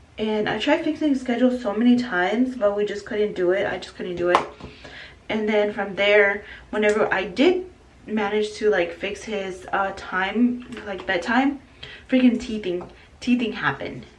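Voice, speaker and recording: The woman's voice is fairly high, with ordinary pitch variation, at a moderate pace. Audible room echo and noticeable background noise are present. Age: 20s. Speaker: vlogger, young mother. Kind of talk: casual get-to-know-me vlog. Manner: casual, with many fillers and hesitations.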